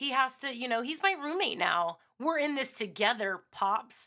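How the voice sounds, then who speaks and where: In a very clean recording with a silent background, a woman speaks at a moderate pace in a raised, projected, high voice with a bright, sharp tone and very wide pitch swings. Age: 40s. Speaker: podcast host, former radio host. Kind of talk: casual monologue. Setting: home studio. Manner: unscripted, a little all over the place.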